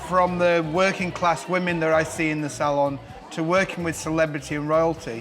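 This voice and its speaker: With a northern English accent, a man speaks in a flat monotone at a fairly high pitch and fairly quick pace over noticeable background noise. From northern England, Barnsley, Yorkshire. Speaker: celebrity hairdresser. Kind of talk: personal storytelling.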